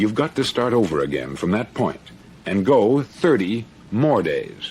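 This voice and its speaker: With music in the background, a man with an American accent talks at a fairly slow pace in a medium pitch that swings very widely. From United States. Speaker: radio broadcaster and motivational speaker. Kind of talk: motivational speech.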